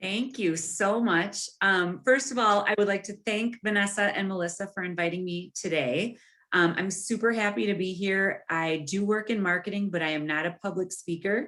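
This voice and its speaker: Hardly pausing at all, a woman speaks at medium pitch with ordinary pitch variation and a bright, sharp tone. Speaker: bank marketing specialist giving a presentation. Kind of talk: webinar presentation. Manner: fast.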